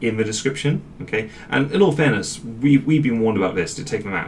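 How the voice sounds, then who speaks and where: A man with a British accent speaks at a medium pitch with ordinary pitch variation, over noticeable background noise and audible room echo. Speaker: YouTuber. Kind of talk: casual vlog talk. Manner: fast; rambling, off the cuff.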